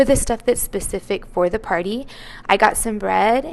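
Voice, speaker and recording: A woman is speaking. Her pace is moderate. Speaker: lifestyle vlogger. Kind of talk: casual vlog narration.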